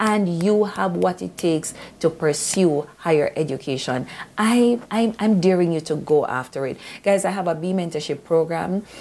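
This woman's voice sits fairly low in pitch. Her tone is dark and mellow. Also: ordinary pitch variation, moderate pace. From Jamaica. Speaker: YouTuber. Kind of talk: motivational vlog. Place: home room. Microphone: phone near.

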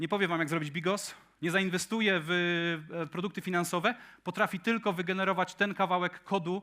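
This man has a high voice with a bright, sharp tone. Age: 40s. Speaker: tech conference speaker. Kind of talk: conference talk. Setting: stage with audience.

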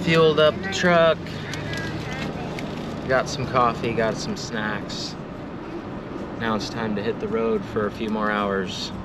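Over loud background noise, a man speaks at a very slow pace with long, frequent pauses, the sound dry with no echo. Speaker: family vlogger driving. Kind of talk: casual vlog chat. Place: car. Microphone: phone near.

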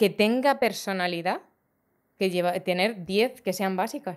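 A woman speaks at a fairly slow pace with a medium pitch and ordinary pitch variation against a quiet background. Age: 40s. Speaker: fashion designer; podcast guest. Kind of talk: casual chat. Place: studio. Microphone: studio mic.

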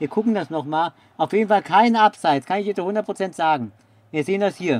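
The delivery has a moderate pace and ordinary pitch variation in a dry sound with no echo. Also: man. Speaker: football stream commentator. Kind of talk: live sports commentary. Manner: excitable; animated. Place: home room.

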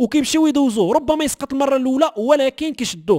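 Ordinary pitch variation in a Moroccan accent, on a very clean recording with a silent background and a dry, close sound with no echo. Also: man. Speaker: news channel host. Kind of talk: news commentary.

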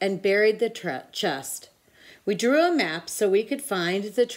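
Someone does plain reading aloud, and the intonation is lively.

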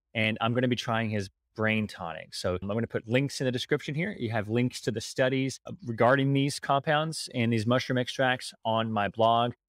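A man with an American accent at medium pitch and moderate pace, ordinary pitch variation, dry sound with no echo, and a quiet background. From United States. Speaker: podcast host. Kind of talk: interview. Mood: friendly, curious. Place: home room. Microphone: studio mic.

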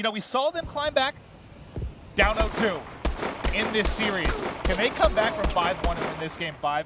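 Animated in tone, a man speaks at a high pitch with very wide pitch swings and long, frequent pauses against noticeable background noise. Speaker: esports commentator. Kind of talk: live esports commentary, play-by-play and analysis with jokes. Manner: animated, quick, bantering.

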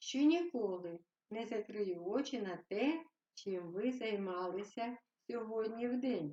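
Over a quiet background, the speaker uses an unforced reading voice.

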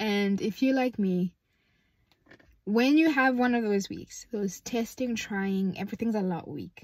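A woman speaks in a somewhat breathy voice with ordinary pitch variation. The background is quiet, and the sound is dry with no echo. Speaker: faith vlogger. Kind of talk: casual vlog chat. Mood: warm, playful, reflective. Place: car. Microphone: phone near.

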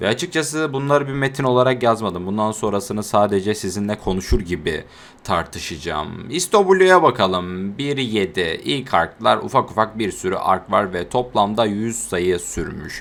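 At a fairly slow pace, a man speaks in a fairly low pitch with lively intonation. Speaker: anime YouTuber. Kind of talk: casual video monologue. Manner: conversational, unscripted.

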